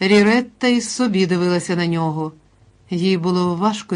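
A natural voice reading aloud, its pitch varying in the usual way.

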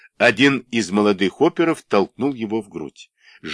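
The reading is aloud and in a natural voice, with lively intonation. No noise intrudes on the quiet background.

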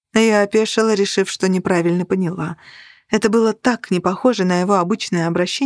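Reading aloud, plain.

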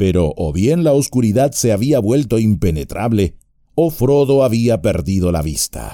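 A natural reading voice carries intonation that is lively.

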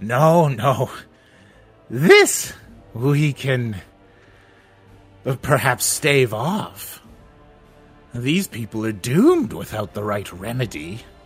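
Doing a put-on character voice, a man speaks loud and shrill at a medium pitch. He goes at a very slow pace with long, frequent pauses, and faint music sits in the background. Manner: loud, cryptic.

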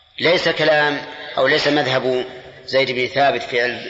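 Room echo is audible as a man talks at a fairly quick pace with a medium pitch. His tone is bright and sharp, and his intonation stays fairly even.

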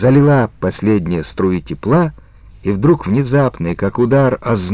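Intonation stays lively throughout an unforced reading voice.

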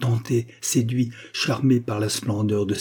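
The intonation is fairly even in this unforced reading voice.

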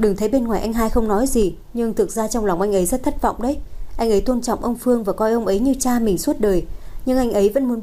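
The voice heard is an unforced reading voice.

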